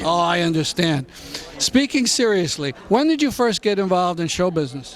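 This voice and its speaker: Noticeable background noise sits behind a man talking at a moderate pace and high pitch, his pitch swinging very widely. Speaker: TV show host, interviewer. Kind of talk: interview questions.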